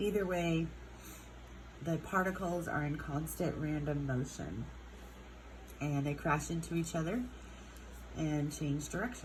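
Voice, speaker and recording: Vocal fry, ordinary pitch variation and long, frequent pauses amid audible room echo. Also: woman, very deep, low pitch for a woman. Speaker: chemistry teacher. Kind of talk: lecture. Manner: casual, hesitant with fillers.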